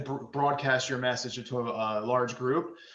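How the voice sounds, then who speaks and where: Noticeable background noise and audible room echo surround the voice. The speaker is a man. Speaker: independent insurance agent. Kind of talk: panel discussion. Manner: fast.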